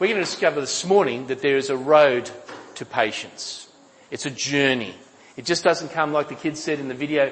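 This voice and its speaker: With an Australian accent, a man speaks at a moderate pace and a fairly high pitch. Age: 60s. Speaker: pastor. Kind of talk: sermon. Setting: church.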